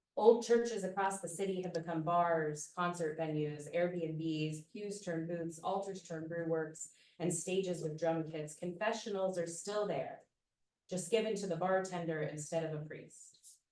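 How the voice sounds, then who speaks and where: A woman with an American accent speaks at a fairly low pitch, her intonation fairly even, with audible room echo around her. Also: fairly slow pace. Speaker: poet. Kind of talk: poetry reading. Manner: loud.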